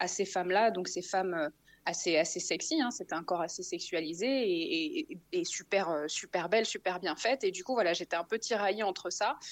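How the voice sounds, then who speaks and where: A medium-pitched woman at a fairly slow pace against a quiet background. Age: 30s. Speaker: author. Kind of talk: testimony. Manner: halting.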